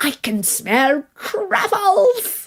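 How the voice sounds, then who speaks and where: A woman puts on a character voice with very wide pitch swings. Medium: read story. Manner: suave, genteel.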